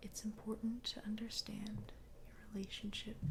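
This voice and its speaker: A woman speaks. She is soft-spoken. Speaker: ASMR creator. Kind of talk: soft-spoken ASMR reading and ramble. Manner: soft, quiet, slow.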